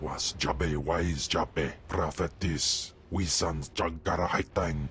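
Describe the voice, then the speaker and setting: Over clear background noise, a man uses a put-on character voice, very deep and low, at a very slow pace. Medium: video game. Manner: speaks an ancient foreign language.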